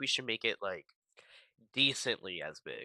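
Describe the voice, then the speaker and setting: A man speaks at a fairly slow pace with a bright, sharp tone. The sound is dry and close with no echo. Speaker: game dev streamer. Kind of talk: tutorial. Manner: loud; casual.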